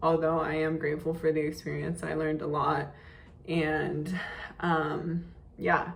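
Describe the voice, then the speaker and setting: A woman with a very deep, low voice speaks fairly slowly in a monotone, flat delivery, taking long, frequent pauses amid audible room echo. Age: 20s. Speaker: day trader and finance vlogger. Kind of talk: casual vlog monologue. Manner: hesitant, many fillers.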